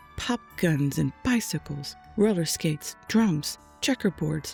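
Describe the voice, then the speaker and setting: Fairly slow speech with music in the background. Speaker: storyteller. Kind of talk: children's rhyming story read aloud. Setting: home studio microphone. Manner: soft-spoken, calm.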